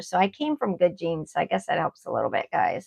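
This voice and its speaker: A woman talks in a normal speaking voice at a fairly quick pace. Her pitch sits in the medium range. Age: 60s. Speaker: YouTuber. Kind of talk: casual chat. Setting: livestream.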